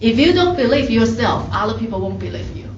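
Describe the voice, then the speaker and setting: Light background noise and audible room echo accompany a woman speaking at a moderate pace. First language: not English. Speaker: faculty member; presenter. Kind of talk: workshop advice talk. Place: meeting room.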